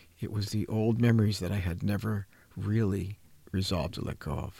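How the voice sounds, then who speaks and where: A man with an American accent speaks at a fairly low pitch. His voice is somewhat breathy. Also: very clean recording, silent background. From US, New Jersey. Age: 70s. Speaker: trauma coach and mentor. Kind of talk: radio talk show conversation. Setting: radio studio. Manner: animated.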